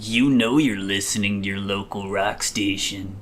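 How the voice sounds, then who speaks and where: A man does a put-on character voice that is raspy and fairly low in pitch. Background noise is clearly audible. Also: moderate pace. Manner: sleazy, suggestive.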